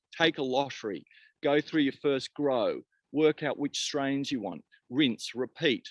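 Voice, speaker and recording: A man with an Australian accent at a moderate pace, dry and close with no echo. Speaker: cannabis company founder. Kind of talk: podcast interview.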